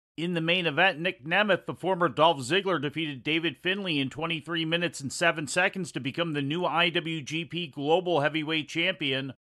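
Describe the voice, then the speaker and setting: A man uses an ordinary speaking voice, moving at a moderate pace with fairly even intonation. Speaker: wrestling news anchor. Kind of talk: news reading. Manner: steady, brisk, formal newsreader delivery.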